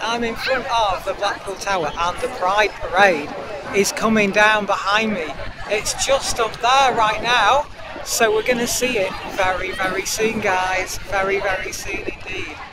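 Against crowd noise in the background, a woman speaks at a fairly slow pace with ordinary pitch variation and a dry sound with no echo. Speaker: vlogger. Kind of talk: casual vlog chat. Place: street. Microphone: lapel.

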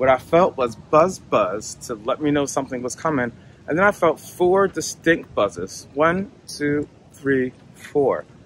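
This is an unremarkable speaking voice with an American accent and lively intonation at a fairly slow pace. The sound is dry with no echo, with light background noise. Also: man, fairly high pitch for a man. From United States. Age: 40s. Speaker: tech company cofounder. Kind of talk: product demo narration. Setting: outdoors. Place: open country.

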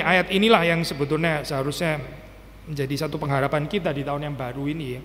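Speaking at a very fast pace, this man has a fairly high pitch. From Indonesia. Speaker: pastor. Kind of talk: sermon. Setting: church. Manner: casual, code-switching with English. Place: church. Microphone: podium.

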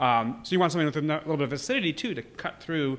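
A man speaks with light background noise present. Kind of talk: interview answer. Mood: enthusiastic, friendly. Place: bar. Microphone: handheld.

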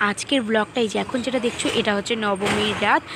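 A woman's fairly high voice, fairly even in intonation, comes through noticeable background noise. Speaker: vlogger. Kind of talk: vlog narration. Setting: in a car.

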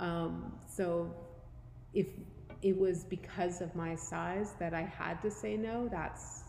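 A woman talks very slowly with a dark, mellow tone and a fairly low pitch. Her pitch varies in an ordinary way, and audible room echo fills the recording. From Canada. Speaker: gym member sharing weight loss story. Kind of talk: casual interview.

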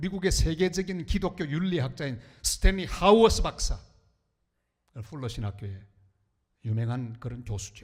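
A man's fairly high, somewhat breathy voice, with very wide pitch swings, big swings in loudness and long, frequent pauses. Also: moderate pace. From Korea, northern Gyeongbuk (Andong). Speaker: pastor. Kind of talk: sermon. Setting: church.

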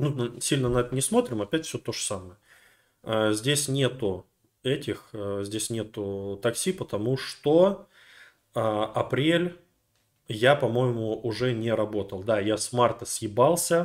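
With lively intonation, the speaker goes at a very slow pace with long, frequent pauses on a very clean recording with a silent background. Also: man, medium pitch for a man. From Russia, rural. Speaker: video blogger. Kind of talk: casual monologue. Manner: animated.

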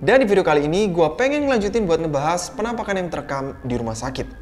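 A man talks at a very fast pace. Faint music plays behind him. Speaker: horror video host. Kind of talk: casual commentary. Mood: storytelling, suspenseful. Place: home room.

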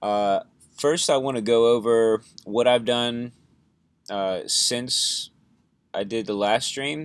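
A man's voice comes through dry, with no echo. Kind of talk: casual live stream chat. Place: home room. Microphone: webcam.

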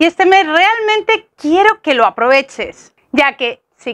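Very slowly, a woman speaks at an extremely high pitch against a quiet background. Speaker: fitness coach. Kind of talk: casual vlog chat. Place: garden. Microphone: lapel.

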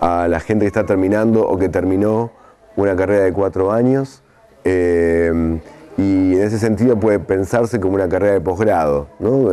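At a moderate pace, a man speaks with a low pitch and a dark, mellow tone.

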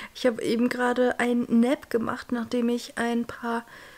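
A woman with a fairly high pitch. Her intonation is flat and monotone. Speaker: vlogger, law student. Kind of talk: casual vlog. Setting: at home, desk. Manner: casual, chatty, English mixed in.

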